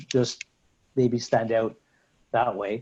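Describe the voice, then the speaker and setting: A man at a medium pitch, speaking at a fairly slow pace. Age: 60s. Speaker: private equity and debt investor, angel investor. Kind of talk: interview. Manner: halting, many fillers and repetitions.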